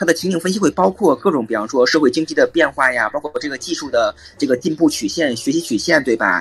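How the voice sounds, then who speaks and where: A man rattles off his words very fast, with hardly any pauses, fairly high pitch and lively intonation, in a dry, close sound with no echo and noticeable background noise. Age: 30s. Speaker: assistant professor, climate and energy expert. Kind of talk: expert interview.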